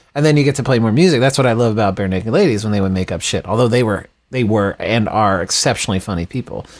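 A man's plain, everyday voice with an American accent, medium in pitch, with ordinary pitch variation and hardly any pauses. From Texas, Dallas suburbs. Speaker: rock band frontman. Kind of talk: casual chat.

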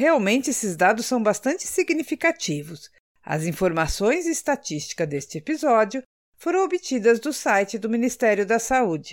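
A woman speaks at a moderate pace in a fairly high voice with vocal fry and very wide pitch swings. The recording is very clean, with a silent background. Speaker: podcast co-host. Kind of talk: scripted health podcast talk.

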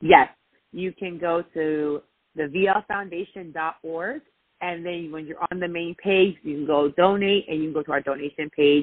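A woman's fairly low voice at a fairly slow pace, with big swings in loudness. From New York. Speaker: sports show host and nonprofit founder. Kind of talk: casual interview. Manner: animated.

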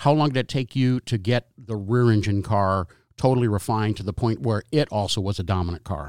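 A man with a normal speaking voice, fairly low in pitch, talks at a fairly quick pace with ordinary pitch variation, in a very clean recording with a silent background and a dry, close sound with no echo. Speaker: auto auction TV commentator and co-host. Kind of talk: interview.

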